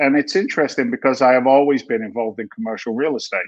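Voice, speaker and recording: A man with an American accent speaks at a fairly quick pace. His intonation is lively against a quiet background. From England, London. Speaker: real estate investor. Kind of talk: podcast interview.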